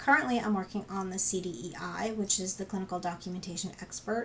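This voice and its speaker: With an unremarkable speaking voice, a woman talks at a moderate pace, her medium pitch showing ordinary pitch variation. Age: 50s. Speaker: registered nurse. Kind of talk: casual talk to camera.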